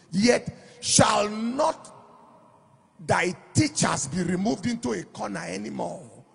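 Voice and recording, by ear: A man with a high pitch for a man talks slowly with lively intonation, vocal fry and a husky, rough edge.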